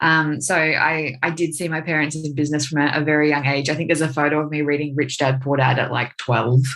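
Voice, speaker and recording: A woman's voice sits at a very deep, low pitch. Her words come through on a very clean recording with a silent background. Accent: Australian. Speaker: marketing agency owner. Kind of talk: podcast interview.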